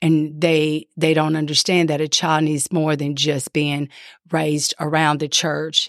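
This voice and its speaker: With a Louisiana accent, a woman with a very deep, low pitch speaks at a fairly slow pace in a dry, close sound with no echo, on a very clean recording with a silent background. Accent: Southern US (Louisiana). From Louisiana, US South. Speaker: pastor's wife. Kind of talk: testimony.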